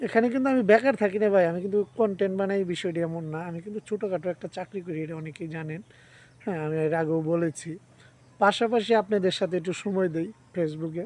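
A man's high voice with ordinary pitch variation. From Sherpur district, northern Bangladesh. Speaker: village vlogger with a day job. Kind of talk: casual vlog monologue to viewers.

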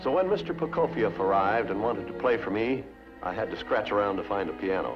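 A man talks at a fairly quick pace over clear music in the background. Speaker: studio head and TV host. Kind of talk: TV host narration. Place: studio.

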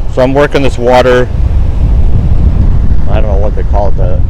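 A man talks over noticeable background noise. The sound is dry, with no echo. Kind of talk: casual vlog chat. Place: beach. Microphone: phone near.

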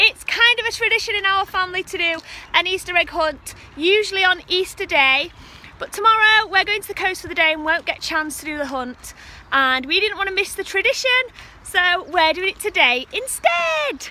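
A woman's raised, projected voice at a fairly quick pace, with lively intonation and a dry sound with no echo. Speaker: family vlogger. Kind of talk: casual vlog chat. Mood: cheerful and upbeat. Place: forest. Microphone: phone near.

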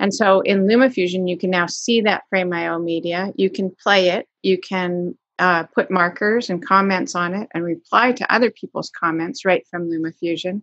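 A woman at a moderate pace with ordinary pitch variation and hardly any pauses, in a dry sound with no echo and a quiet background. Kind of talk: interview answer. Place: home room. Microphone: video call.

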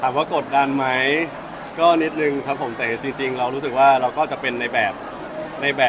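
Noticeable background noise surrounds the speaker. He is a man with a medium-pitched voice. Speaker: actor. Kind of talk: interview answer. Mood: excited, polite. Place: hall.

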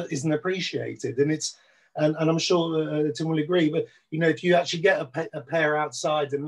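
The background stays quiet while a man speaks at a moderate pace. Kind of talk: video call panel discussion. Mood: enthusiastic about antiques. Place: home room. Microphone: video call.

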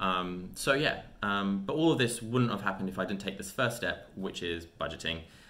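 A man speaks with a fairly low pitch and ordinary pitch variation. His tone is bright and sharp. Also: moderate pace. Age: 20s. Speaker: personal finance youtuber. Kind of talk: tutorial. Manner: hesitant with frequent fillers. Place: home room. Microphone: webcam.

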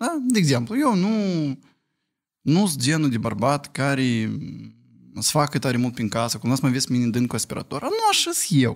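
Lively intonation comes at a moderate pace. The background is quiet. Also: man, fairly high pitch for a man. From Moldova. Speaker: podcast guest with partner; podcast guest. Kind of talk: casual chat. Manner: animated. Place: studio. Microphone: studio mic.

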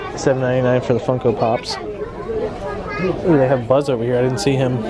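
A man at a moderate pace, dry sound with no echo, crowd noise in the background. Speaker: vlogger filming the store. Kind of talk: casual vlog chat. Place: shop. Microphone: phone near.

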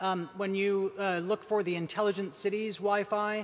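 A man is talking. The pace is moderate. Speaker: event host. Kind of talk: event announcements and introduction. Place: hall. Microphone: podium.

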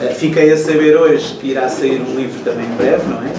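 There is noticeable background noise and audible room echo as a man speaks at a fairly quick pace. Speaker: moderator of literary talk. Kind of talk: interview question. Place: shop. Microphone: camera far.

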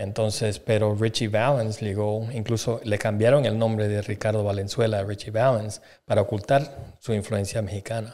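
A man's fairly low, dark and mellow voice in a flat monotone, at a moderate pace with hardly any pauses, against a quiet background. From Bolivia. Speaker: podcast guest. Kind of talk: casual chat; casual podcast conversation. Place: studio. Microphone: studio mic.

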